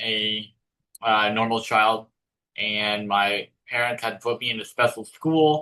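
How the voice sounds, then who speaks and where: A man with a Californian accent speaks at a very slow pace. His tone is bright and sharp, and his pitch varies in an ordinary way. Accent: General American (Californian). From Northern California, San Jose. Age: 30s. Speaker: author. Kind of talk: interview. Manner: halting.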